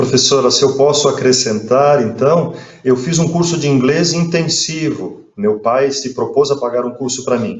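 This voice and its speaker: A man talks at a fairly slow pace with a fairly high pitch and ordinary pitch variation. Audible room echo and noticeable background noise fill the recording. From Brazil, Joinville, Santa Catarina. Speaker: friar and professor. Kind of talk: interview.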